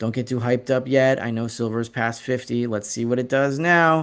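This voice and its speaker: The man's voice sits at a medium pitch. The background is quiet. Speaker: precious metals analyst. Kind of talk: market commentary with charts. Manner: fast; hesitant fillers.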